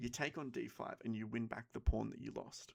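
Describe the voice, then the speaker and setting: Quietly, a man is talking. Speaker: chess streamer. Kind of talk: commentated chess game tutorial. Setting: home at night.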